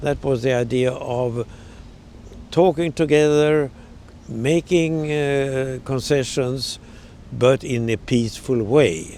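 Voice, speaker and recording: A man with a Swedish accent, medium in pitch, with lively intonation at a very slow pace. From Sweden. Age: 80s+. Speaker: journalist. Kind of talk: interview answer.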